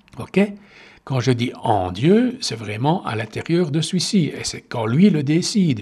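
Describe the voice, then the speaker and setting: A man with a fairly high pitch speaks at a very slow pace, somewhat breathy, with very wide pitch swings. The recording is very clean, with a silent background. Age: 60s. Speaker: meditation podcaster. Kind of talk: personal monologue. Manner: halting.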